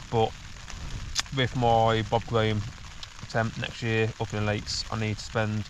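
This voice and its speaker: A man speaks at a moderate pace and medium pitch over noticeable background noise. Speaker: hiking vlogger. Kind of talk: casual vlog monologue. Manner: halting.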